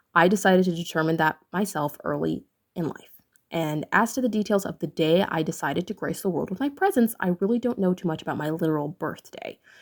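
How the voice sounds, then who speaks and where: A woman with an American accent speaks at a fairly quick pace in a plain, everyday voice, with a fairly low pitch and ordinary pitch variation. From Central Asia, raised by American-Indian family. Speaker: channel host, vlogger. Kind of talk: personal storytelling monologue.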